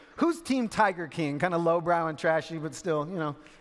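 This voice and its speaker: A man's playful tone at a fairly quick pace over noticeable background noise. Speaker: spoken word poet and keynote speaker. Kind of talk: conference keynote opening, casual audience banter. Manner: playful, conversational, humorous.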